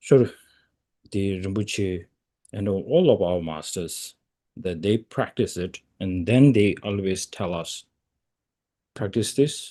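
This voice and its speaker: Against a quiet background, a man speaks at a very slow pace with a Tibetan accent. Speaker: Tibetan Buddhist lama. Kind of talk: dharma teaching. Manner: halting, many fillers.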